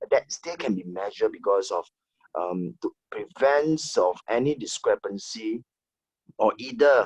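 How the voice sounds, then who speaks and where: The man speaks at a fairly slow pace, and the sound is dry and close with no echo. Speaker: HR manager. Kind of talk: online panel discussion. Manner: soft-spoken.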